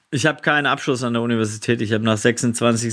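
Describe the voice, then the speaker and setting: Speaking at a fairly quick pace with fairly even intonation, a man with medium pitch has an ordinary speaking voice on a very clean recording with a silent background. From Swabia, southwestern Germany. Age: 40s. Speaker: social entrepreneur. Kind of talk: casual interview.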